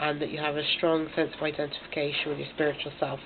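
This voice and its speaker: A woman's very deep, low voice is heard through noticeable background noise. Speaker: tarot reader. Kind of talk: tarot reading to camera. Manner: hesitant, many fillers.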